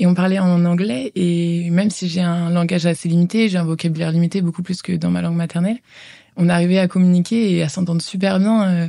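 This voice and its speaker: Her voice is fairly low for a woman, with a dark, mellow tone and a fairly quick pace. She keeps a fairly even intonation and very even loudness. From France, Val-d'Oise. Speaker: former exchange student. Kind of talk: interview testimony. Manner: hesitant, many filler sounds.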